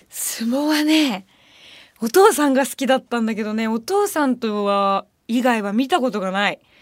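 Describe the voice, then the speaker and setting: Her pitch high and her intonation lively, a woman is heard in a very clean recording with a silent background. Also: moderate pace. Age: 20s. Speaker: radio host and band vocalist. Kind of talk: casual radio talk. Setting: studio. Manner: animated.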